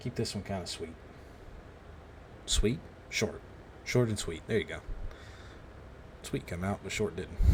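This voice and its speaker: With long, frequent pauses, a man speaks at a moderate pace in a fairly low pitch with ordinary pitch variation. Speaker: gaming YouTuber. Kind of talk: gameplay commentary. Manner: quieter than usual, holding back; normally loud.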